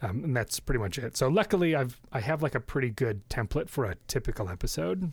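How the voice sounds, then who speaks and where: Over a very clean recording with a silent background, a somewhat breathy voice with an American accent races along at a very fast pace with very wide pitch swings. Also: man, medium pitch for a man. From US Midwest, Chicago suburbs. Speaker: psychology professor and podcaster. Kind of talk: casual interview chat. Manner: frequent laughter.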